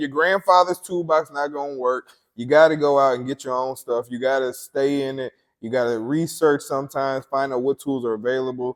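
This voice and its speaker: A man speaks at a fairly high pitch, his loudness swinging widely. The sound is dry and close with no echo, over a quiet background. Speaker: car builder and hobby mechanic. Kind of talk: casual chat.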